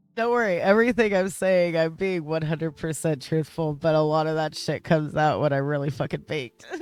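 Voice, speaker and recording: A woman speaks at a fairly quick pace with hardly any pauses, her pitch very deep and low with ordinary variation. Noticeable background noise sits behind her. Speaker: streamer. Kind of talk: casual live stream chat. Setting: live stream.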